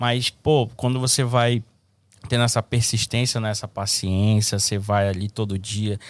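Flat, monotone delivery at a fairly slow pace, in a dry, close, echo-free sound on a very clean recording with a silent background. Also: man. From Brazil, Manaus, Amazonas. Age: 20s. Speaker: barber. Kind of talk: casual chat.

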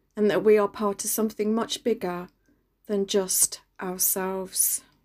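In a London accent, a woman talks at a fairly slow pace with medium pitch, a dark, mellow tone and monotone, flat intonation, on a very clean recording with a silent background. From East London, England. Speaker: radio reflection speaker. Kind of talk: scripted reflection.

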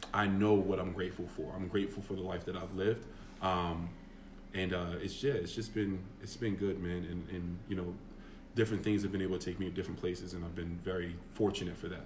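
A man talks at a very fast pace in a somewhat breathy, very deep, low pitch, with monotone, flat intonation and audible room echo. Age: 30s. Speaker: former basketball player. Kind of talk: casual chat.

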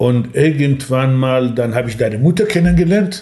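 A man speaks at medium pitch and a moderate pace in a dark, mellow tone. Audible room echo surrounds his voice. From Iranian Kurdistan (Sanandaj). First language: Kurdish (speaking German). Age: 60s. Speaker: café owner. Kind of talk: interview.

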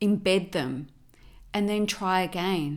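Here a woman speaks in an Australian accent at medium pitch. She goes at a fairly slow pace. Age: 50s. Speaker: business coach and podcast host. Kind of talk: motivational monologue. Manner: animated.

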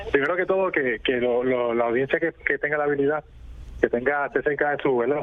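A man speaks at a fairly quick pace with a fairly high pitch and ordinary pitch variation, over noticeable background noise. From Puerto Rico. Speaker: boxing journalist. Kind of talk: radio interview. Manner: halting, repeats words.

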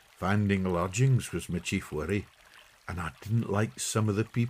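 The voice is plain reading aloud. It simply reads the text.

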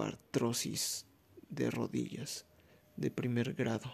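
A man talks with a Mexican accent. His pace is very slow. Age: 20s. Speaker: podcaster. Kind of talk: casual monologue. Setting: recording at night.

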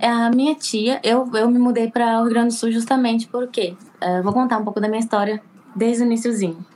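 A woman with a fairly high pitch talks at a very fast pace, her loudness very even and her intonation fairly even, over noticeable background noise. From Recife, raised in Porto Alegre, Brazil. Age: 20s. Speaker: beauty therapy student living abroad. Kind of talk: casual interview chat.

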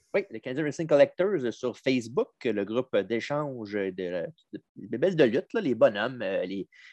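With a Quebec accent, a man speaks at a fairly slow pace and medium pitch against a quiet background, in a dry, close sound with no echo. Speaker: wrestling podcast host. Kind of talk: casual chat.

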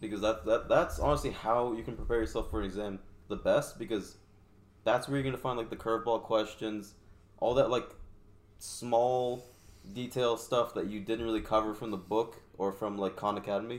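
A man speaks in an ordinary speaking voice at a medium pitch. His pace is moderate and his intonation fairly even. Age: 20s. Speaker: podcast guest, motorcyclist. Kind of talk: casual chat.

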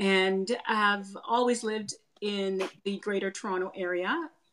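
A woman talks with a Canadian accent at a medium pitch. Her pitch variation is ordinary. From Canada. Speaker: image consultant. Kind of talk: casual interview. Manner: hesitant with fillers.

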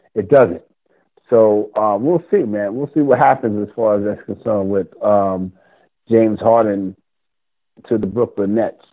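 This man talks at a fairly slow pace with ordinary pitch variation. He leaves long, frequent pauses. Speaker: sports radio host. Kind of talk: casual sports talk show banter. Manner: animated, chatty, hip slang-laden.

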